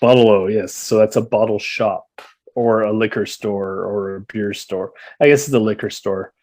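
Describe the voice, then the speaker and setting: With a Canadian accent, a man uses a normal speaking voice at a moderate pace, his fairly low pitch held in fairly even intonation. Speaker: guest, childhood friend of the host living in Australia. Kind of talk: casual chat.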